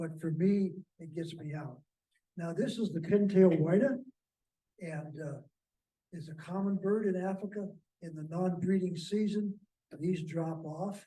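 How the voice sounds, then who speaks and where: With a dark, mellow tone and a high pitch, a man speaks in fairly even intonation broken by long, frequent pauses and big swings in loudness, all in audible room echo. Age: 70s. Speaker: birding author and speaker. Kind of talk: slide presentation talk. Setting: meeting room with audience. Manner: conversational, with frequent fillers.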